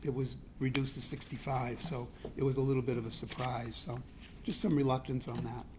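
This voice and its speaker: In a room with audible echo, a somewhat breathy man speaks at a moderate pace with a fairly high pitch and fairly even intonation. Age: 70s. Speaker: resident speaking at public hearing. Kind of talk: public comment at city council meeting. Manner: halting.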